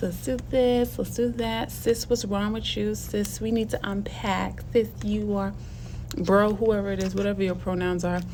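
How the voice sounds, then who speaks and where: Audible room echo is present. A woman's speech moves at a moderate pace. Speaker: video blogger and teacher. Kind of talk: casual vlog monologue.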